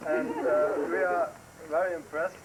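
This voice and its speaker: Against noticeable background noise, a man with a German accent talks at a fairly slow pace. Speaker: visiting relative from abroad. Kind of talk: farewell speech. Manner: halting.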